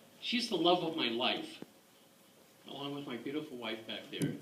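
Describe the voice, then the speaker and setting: Talking at a fairly quick pace, a man is heard with audible room echo. Noticeable background noise runs underneath. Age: 60s. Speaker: war veteran. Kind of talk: testimony. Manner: animated.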